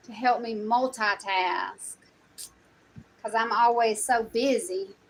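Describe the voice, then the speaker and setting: Here a woman speaks with a strong Southern US accent. Her voice is fairly high and her pace very slow. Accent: strong Southern country. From US South, South Carolina. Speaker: content creator. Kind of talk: casual vlog chat.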